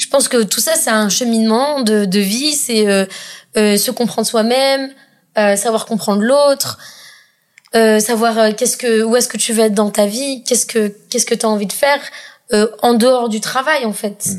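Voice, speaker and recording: With a fairly high pitch and fairly even intonation, a woman speaks at a moderate pace broken by long, frequent pauses. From Madagascar. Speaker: startup co-founder and CEO. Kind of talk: casual chat.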